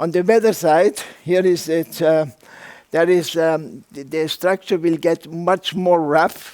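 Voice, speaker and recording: Speaking very slowly with a non-native accent, a man keeps a fairly even intonation in a high voice. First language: German. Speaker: architect and rammed earth builder. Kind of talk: lecture. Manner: halting, many fillers.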